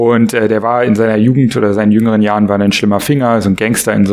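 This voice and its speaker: A man's fairly low pitch is heard with noticeable background noise around it. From Berlin, Germany. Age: 40s. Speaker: author and entrepreneur. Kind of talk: podcast interview. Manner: hesitant, many filler sounds.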